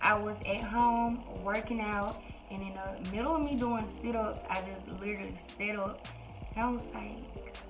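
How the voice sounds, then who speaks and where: Noticeable background noise is present throughout. A woman's voice comes through over it. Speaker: vlogger. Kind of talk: casual vlog chat. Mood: chatty, amused storytelling. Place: home room. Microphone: phone near.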